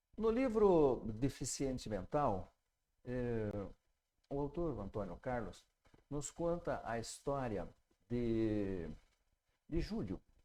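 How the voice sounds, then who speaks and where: This man has a fairly high pitch and a dark, mellow tone. He talks at a very slow pace, his pitch swinging very widely. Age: 60s. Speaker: spiritist teacher and pediatrician. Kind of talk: lecture with story retelling. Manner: halting, many fillers.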